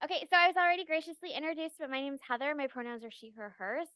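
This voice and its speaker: A woman's raised, projected voice at a very fast pace, with very wide pitch swings, in a dry, close sound with no echo. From US Midwest, Wisconsin. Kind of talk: lecture. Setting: lecture hall with audience, also streamed online. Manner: casual, fast-paced.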